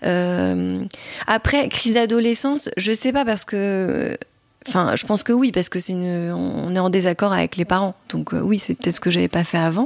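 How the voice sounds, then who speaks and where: Amid noticeable background noise, a woman talks at a moderate pace and a medium pitch, with ordinary pitch variation. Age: 30s. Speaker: podcast guest sharing her psychoanalysis experience. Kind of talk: testimony. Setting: in the host's home. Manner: halting, many hesitations.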